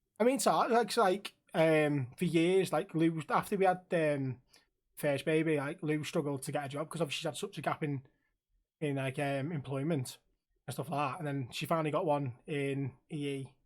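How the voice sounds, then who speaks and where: A man with a Liverpool accent talks at a moderate pace in a fairly high pitch. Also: ordinary pitch variation. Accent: Liverpool (Scouse). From Liverpool, England. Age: 30s. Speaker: streamer and podcast host. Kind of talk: casual chat.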